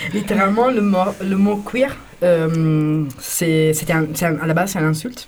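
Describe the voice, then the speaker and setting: A woman speaks in an Italian accent at a fairly low pitch. There is noticeable background noise. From Italy. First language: Italian (speaking French). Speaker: queer activist in a techno collective. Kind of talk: radio interview. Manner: halting.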